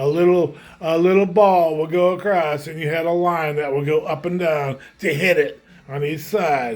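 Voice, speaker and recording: The man's voice sits high in pitch. His intonation stays fairly even. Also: moderate pace. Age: 70s. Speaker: gaming vlogger. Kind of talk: casual monologue vlog. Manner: halting, repetitive.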